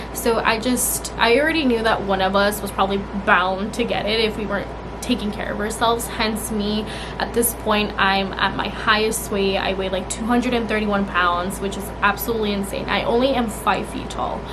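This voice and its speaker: Over noticeable background noise and audible room echo, a woman with a fairly high pitch speaks at a fairly quick pace with fairly even intonation. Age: 20s. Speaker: vlogger. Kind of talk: casual chat.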